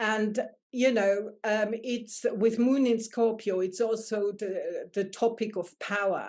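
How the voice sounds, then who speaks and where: A woman with a German accent, fairly high in pitch, monotone and flat, at a very slow pace over a quiet background. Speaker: astrologer and life coach. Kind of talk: casual chat.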